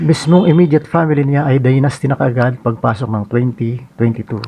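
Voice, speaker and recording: A man talks at a moderate pace with a somewhat breathy sound. His pitch is medium, with ordinary variation. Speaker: political commentary vlogger. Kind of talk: scripted monologue commentary.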